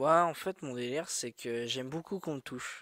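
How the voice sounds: A man speaks at a moderate pace in a medium pitch. His tone is fairly bright, with ordinary pitch variation.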